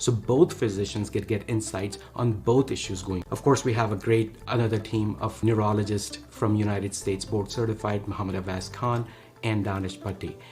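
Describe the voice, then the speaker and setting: Over music in the background, a man with a Pakistani accent speaks at a moderate pace in a fairly low pitch with fairly even intonation. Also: hardly any pauses. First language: Urdu. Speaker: neurologist and startup co-founder. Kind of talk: investor pitch.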